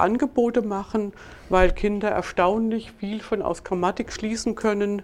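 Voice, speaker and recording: This woman has a normal speaking voice, medium in pitch, with fairly even intonation at a moderate pace. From Germany, northern Hesse near Marburg. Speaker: professor and intelligence researcher. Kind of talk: interview.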